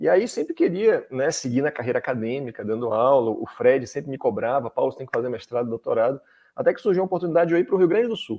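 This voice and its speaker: A man with a fairly high pitch speaks at a very fast pace with very wide pitch swings. He leaves hardly any pauses. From Salvador, Bahia, Brazil. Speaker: law professor and government attorney. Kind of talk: interview on legal topics.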